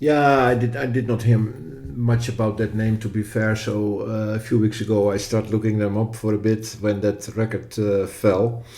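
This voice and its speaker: The speech runs at a moderate pace with hardly any pauses, in a Dutch accent. The intonation is flat and monotone, the tone dark and mellow. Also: man, fairly low pitch for a man. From Netherlands. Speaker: podcast co-host. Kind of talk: podcast discussion. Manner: hesitant, with fillers.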